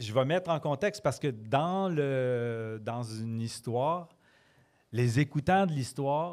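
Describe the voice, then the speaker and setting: Very slowly, a man with a slight Quebec accent talks with lively intonation in a very clean recording with a silent background. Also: medium pitch for a man. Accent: Quebec French, mild. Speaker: storyteller. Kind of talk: casual interview. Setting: pub with live audience.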